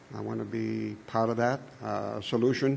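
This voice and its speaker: Speech runs at a moderate pace with audible room echo. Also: man. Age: 80s+. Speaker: committee applicant. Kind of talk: public meeting interview. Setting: town board meeting. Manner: halting, many fillers.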